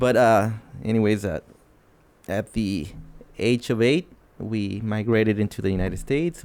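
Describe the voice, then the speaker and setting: A man with a Mexican accent, a fairly low pitch, ordinary pitch variation and a fairly slow pace. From northern Mexico, Ciudad Juarez area. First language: Spanish. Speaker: podcast co-host. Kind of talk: casual chat.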